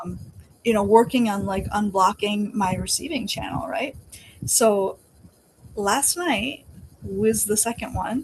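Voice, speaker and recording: A woman with a medium-pitched voice speaks at a fairly slow pace with lively intonation, leaving long, frequent pauses over noticeable background noise. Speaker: healing practitioner giving a client testimonial. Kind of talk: testimonial, casual video chat. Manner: animated, filler-heavy.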